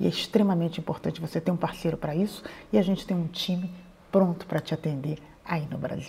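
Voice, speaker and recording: A woman with a fairly low pitch speaks very fast, keeping her intonation fairly even. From Brazil. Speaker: YouTuber advising emigrants. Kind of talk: explainer to camera.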